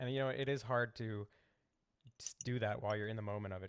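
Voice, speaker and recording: A man with an American accent, fairly low-pitched, fairly even intonation and a very fast pace. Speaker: podcast host. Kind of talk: interview podcast; promotional outro. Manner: hurried.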